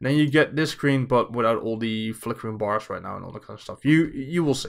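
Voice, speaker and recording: Fairly quick speech in a Dutch accent on a very clean recording with a silent background. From Netherlands. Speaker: streamer. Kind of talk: tutorial. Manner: casual with many fillers.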